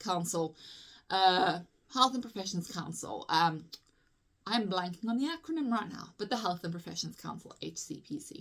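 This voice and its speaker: Speaking with a South African accent, a woman has a bright, sharp tone at medium pitch. Her pace is moderate and her pitch variation ordinary. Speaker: physiotherapist. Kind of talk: tutorial. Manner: casual, chatty with frequent fillers.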